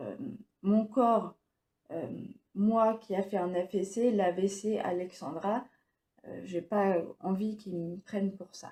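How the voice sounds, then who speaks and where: Somewhat breathy and dark, mellow in tone, a woman's medium-pitched voice moves at a very slow pace with fairly even intonation. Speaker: stroke survivor and vlogger. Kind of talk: personal vlog monologue. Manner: halting, many hesitations; speech wavers.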